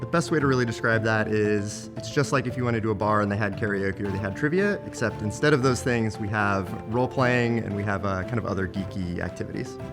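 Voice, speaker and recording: Music sits in the background as a man talks at a very fast pace with hardly any pauses. His voice is fairly low, with ordinary pitch variation. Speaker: brewpub CEO. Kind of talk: interview answer.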